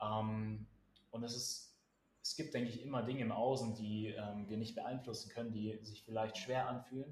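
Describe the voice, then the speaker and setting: A man with a medium pitch speaks at a moderate pace, somewhat breathy and monotone. Audible room echo surrounds his voice. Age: 20s. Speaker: pianist. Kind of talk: casual chat.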